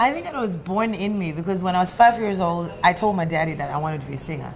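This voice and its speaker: Speaking at a very fast pace with ordinary pitch variation, a woman with a fairly low pitch is heard in a room with audible echo. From Zimbabwe. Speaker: musician. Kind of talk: interview. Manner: loud; bubbly, animated.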